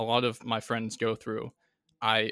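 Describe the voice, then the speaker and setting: Bright and sharp in tone, this man's voice carries an American accent. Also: very clean recording, silent background. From Connecticut. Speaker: Navy veteran. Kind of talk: interview. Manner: halting.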